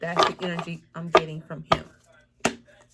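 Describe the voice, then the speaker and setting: Noticeable background noise is present throughout. Over it, a woman talks in a fairly low pitch. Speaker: tarot reader. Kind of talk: tarot reading. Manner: fast.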